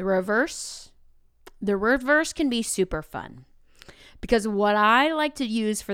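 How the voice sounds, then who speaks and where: The tone is animated and the intonation lively, though the pace is fairly slow. The recording is very clean, with a silent background. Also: woman. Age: 30s. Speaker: podcast host and classroom teacher. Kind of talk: casual solo podcast talk.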